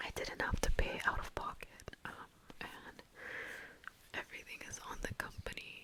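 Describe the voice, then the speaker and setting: Whispering at a moderate pace with long, frequent pauses, over noticeable background noise. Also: woman. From Vancouver, Canada. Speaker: ASMR content creator. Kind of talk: ASMR whisper ramble to camera. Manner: whispered, soft-spoken.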